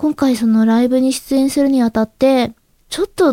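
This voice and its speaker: Quiet and dry, with no echo, a woman's high voice carries a dark, mellow tone close to the mic. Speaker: amateur voice actress and podcast host. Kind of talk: solo podcast talk. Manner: slow.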